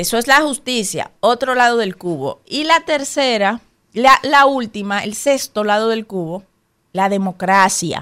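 With a Dominican accent, a woman speaks at a fairly slow pace in a fairly high pitch, her tone bright and sharp and her intonation lively. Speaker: radio co-host. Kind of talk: casual chat.

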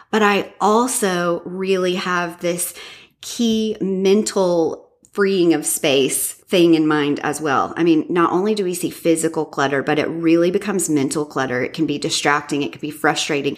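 Fairly low-pitched woman with an American accent, ordinary pitch variation and a moderate pace, in a very clean recording with a silent background. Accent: American, self-described as cringy. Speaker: professional organizer and podcaster. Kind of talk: interview.

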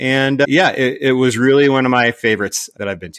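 A man's bright, sharp tone at a fairly quick pace, with a dry, close sound with no echo and a very clean recording with a silent background. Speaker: engineer and product designer. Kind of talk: interview explaining technical design.

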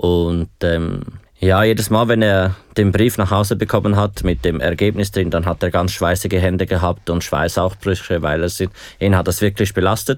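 Over a silent background in a very clean recording, a man with a very deep, low voice speaks at a moderate pace with fairly even intonation. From Switzerland, Aargau. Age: 20s. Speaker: hospitality student living with HIV. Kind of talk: interview. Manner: hesitant, many fillers.

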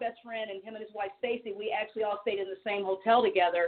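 Speaking very fast, a woman talks with an American accent. Her voice is fairly high. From US Midwest, Missouri. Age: 50s. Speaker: singer. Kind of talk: casual chat.

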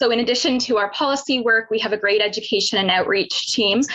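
A woman with a Canadian accent at a fairly quick pace, over noticeable background noise. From Ontario, Canada (Pickering near Toronto). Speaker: securities regulator researcher. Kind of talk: webinar presentation.

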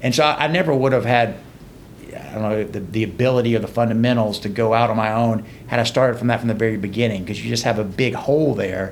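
With audible room echo, a man speaks at a very fast pace in a medium pitch with ordinary pitch variation. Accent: American. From Georgia, US South (LaGrange). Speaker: trial lawyer. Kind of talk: casual chat.

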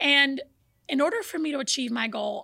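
A woman with a high pitch and a bright, sharp tone uses a raised, projected voice. She speaks at a moderate pace on a very clean recording with a silent background. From born in Brazil, raised in the US from age four. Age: young. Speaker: fitness journey guest. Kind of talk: casual interview.

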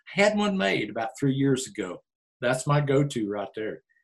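Here a man speaks with an American accent at a moderate pace. His voice is fairly high and somewhat breathy. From Oklahoma Panhandle. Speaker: team roper and county commissioner candidate. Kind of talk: casual interview.

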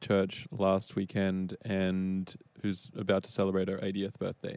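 A man with an Australian accent speaks at a fairly slow pace. His pitch is fairly low. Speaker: church elder and evangelism director. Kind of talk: panel discussion.

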